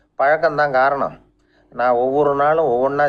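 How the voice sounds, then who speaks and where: Speaking in a Tamil Nadu accent, a man uses fairly even intonation at a fairly high pitch. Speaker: radio personality. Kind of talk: radio storytelling talk. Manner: calm, humorous.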